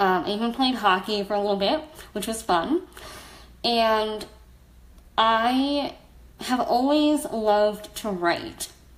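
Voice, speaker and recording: A woman's fairly high voice in an American accent, very slow, with long, frequent pauses. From US, South Florida. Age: 30s. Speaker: blogger and storyteller. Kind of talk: personal testimony on a livestream. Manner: casual, frequent fillers.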